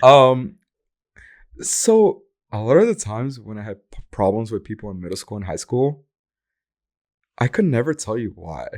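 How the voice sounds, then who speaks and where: A man speaks at a moderate pace with a Portuguese accent, medium pitch and lively intonation, taking long, frequent pauses. His loudness swings widely, and the recording is very clean with a silent background. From Brazil. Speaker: dancer. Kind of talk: casual chat.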